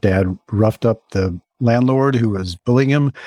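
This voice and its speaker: The voice has a dark, mellow tone and an American accent, with ordinary pitch variation and a dry, close sound with no echo. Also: man. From US South, Mississippi. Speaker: science journalist and author. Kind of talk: interview conversation.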